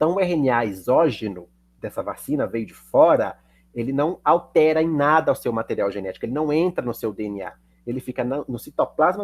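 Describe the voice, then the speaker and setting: A man with lively intonation, heard in a dry, close sound with no echo. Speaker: chemistry teacher. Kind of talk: lecture. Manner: fast.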